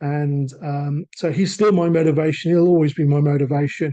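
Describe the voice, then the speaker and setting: This man has a British accent, a fairly high pitch and a dark, mellow tone, and his intonation stays fairly even. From England. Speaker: assistive technology sales manager. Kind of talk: webinar presentation. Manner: halting.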